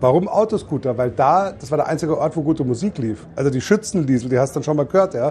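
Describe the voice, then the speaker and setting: Speaking at a very fast pace with hardly any pauses, a man uses a fairly high pitch, a somewhat breathy, dark, mellow tone and lively intonation. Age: 50s. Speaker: beer tent landlord. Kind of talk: casual chat. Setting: in a festival tent.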